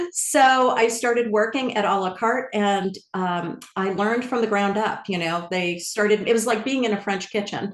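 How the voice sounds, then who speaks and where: A woman with an American accent talks at a fairly high pitch with ordinary pitch variation. She hardly pauses, and there is noticeable background noise. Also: moderate pace. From New York area (Bronxville). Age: 60s. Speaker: culinary wellness founder. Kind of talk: interview conversation.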